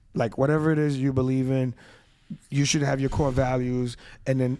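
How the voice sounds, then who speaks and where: The speaker talks at a fairly quick pace with a New York accent. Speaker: podcast co-host. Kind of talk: casual chat. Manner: fast.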